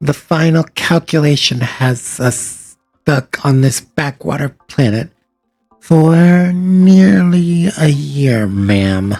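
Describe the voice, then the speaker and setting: Over background music, a man performs a put-on character voice. He speaks very slowly with lively intonation. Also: fairly high pitch for a man. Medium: read story. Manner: formal, precise.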